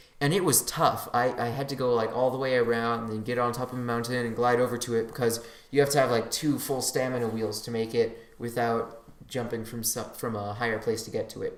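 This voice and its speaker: A man with a medium-pitched voice speaks at a fairly quick pace. His intonation is monotone and flat, with audible room echo. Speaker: gaming podcast host. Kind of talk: casual solo podcast. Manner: halting, many restarts.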